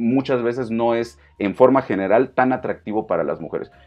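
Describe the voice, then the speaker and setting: A man speaks at a medium pitch. He has a Mexican accent. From Mexico. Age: 40s. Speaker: fitness coach. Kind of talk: casual monologue. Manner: hesitant, many fillers.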